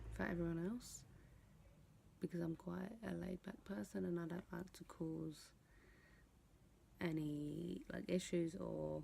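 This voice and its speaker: Whispering in a London accent, a woman goes at a fairly slow pace with long, frequent pauses. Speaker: vlogger. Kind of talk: casual vlog talk. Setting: at home at night.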